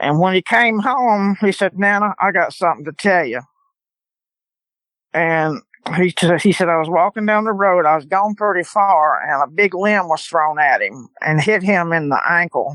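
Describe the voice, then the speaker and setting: A woman with a Louisiana accent, fairly low-pitched, at a moderate pace with ordinary pitch variation, in a dry, close sound with no echo. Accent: Louisiana Southern. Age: 70s. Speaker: eyewitness guest. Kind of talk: testimony.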